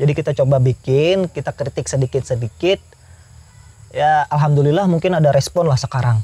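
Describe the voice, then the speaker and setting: A somewhat breathy man with a fairly high pitch and ordinary pitch variation, in a dry, close sound with no echo. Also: fairly quick pace. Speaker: youtuber. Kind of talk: interview.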